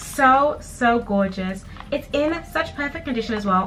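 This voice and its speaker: With music playing in the background, a woman speaks in an upbeat tone at a moderate pace, with ordinary pitch variation. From Zimbabwe. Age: 20s. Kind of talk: casual talk to camera. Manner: chatty, upbeat.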